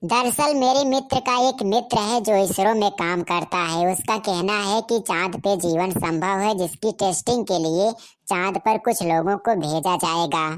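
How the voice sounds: A woman performs a cartoonish character voice at medium pitch and moderate pace, with very even loudness and hardly any pauses.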